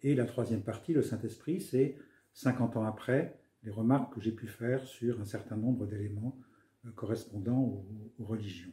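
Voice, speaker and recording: A man's somewhat breathy, dark and mellow voice at a medium pitch, with a moderate pace and ordinary pitch variation. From France, Paris. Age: 70s. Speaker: author, retired senior civil servant. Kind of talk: interview. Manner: hesitant, many fillers.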